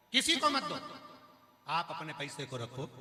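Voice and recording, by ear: This man has a fairly high pitch, a bright, sharp tone and big pitch swings, and he moves at a fairly slow pace.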